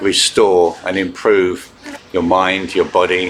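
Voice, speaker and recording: A man speaking fairly slowly over noticeable background noise. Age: 70s. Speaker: qigong instructor. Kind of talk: instructional talk. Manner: calm, hesitant with fillers.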